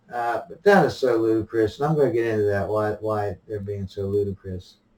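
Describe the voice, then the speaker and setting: A man with a fairly low pitch speaks at a fairly quick pace in a somewhat breathy voice with ordinary pitch variation. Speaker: vlogger. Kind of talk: opinion monologue. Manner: halting with frequent repetitions; soft-spoken.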